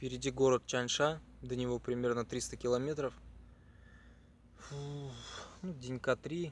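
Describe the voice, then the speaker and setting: A quiet man speaks at a fairly slow pace and a medium pitch, with fairly even intonation and long, frequent pauses. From Chuvashia, Russia. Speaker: cycling traveler vlogger. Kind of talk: travel vlog. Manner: quiet, low-energy.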